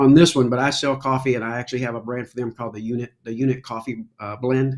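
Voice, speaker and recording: A man's medium-pitched voice with an American accent, monotone and flat, at a very fast pace. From Kentucky, US. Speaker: veteran charity organizer and coffee business owner. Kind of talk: casual chat.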